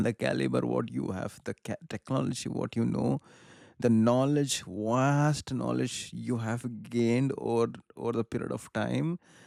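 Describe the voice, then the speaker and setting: Someone with a Karnataka accent speaks at a fairly slow pace, with a dry, close sound and no echo. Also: man. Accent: Indian English (Kannada). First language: Kannada. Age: 30s. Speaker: film commentator / vlogger. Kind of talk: casual monologue. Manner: animated; halting.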